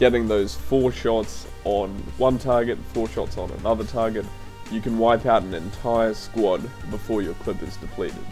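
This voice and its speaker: Music plays in the background. The voice moves at a moderate pace with lively intonation. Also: man, fairly low pitch for a man. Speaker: gaming video creator. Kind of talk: game tutorial narration.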